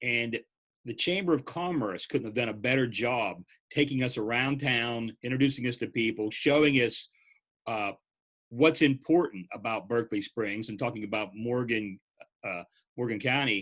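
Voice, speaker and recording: A man speaks at a moderate pace in a normal speaking voice with medium pitch. His pitch variation is ordinary, and the background is quiet. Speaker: press association executive director. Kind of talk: interviewer.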